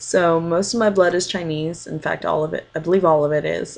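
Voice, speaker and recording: This woman's pitch is fairly low, with ordinary variation. She talks at a moderate pace. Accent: American. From California (Pleasanton). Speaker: university student. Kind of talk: personal video introduction. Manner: hesitant, many fillers.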